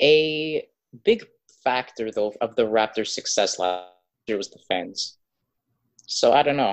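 At a fairly slow pace, with long, frequent pauses and big swings in loudness, the speaker talks over a quiet background. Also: man, medium pitch for a man. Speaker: podcast co-host. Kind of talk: casual chat.

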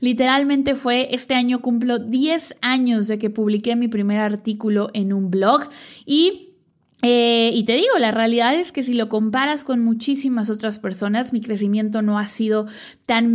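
This woman has an ordinary speaking voice with a fairly high pitch and ordinary pitch variation. The recording is very clean, the background silent. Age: 30s. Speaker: business coach podcaster. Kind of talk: solo podcast monologue.

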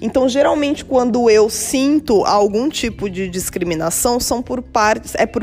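Fairly slow delivery with lively intonation, over music in the background. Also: woman. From São Paulo, Brazil. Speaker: podcast host, logistics professional. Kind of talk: solo podcast monologue.

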